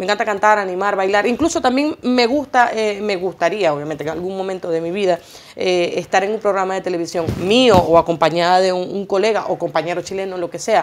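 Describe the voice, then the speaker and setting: Fairly quick speech with ordinary pitch variation over light background noise. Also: woman. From Venezuela, Maracaibo; Venezuela. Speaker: singer and journalist; journalist. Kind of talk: TV interview. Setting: TV studio. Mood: warm, grateful. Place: studio.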